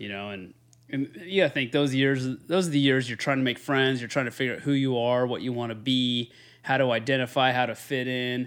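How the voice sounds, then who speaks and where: A man with an American accent and an ordinary speaking voice talks at medium pitch and a fairly quick pace. His intonation is fairly even, and the recording is very clean with a silent background. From Northern California. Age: 30s. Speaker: podcast co-host. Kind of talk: casual chat.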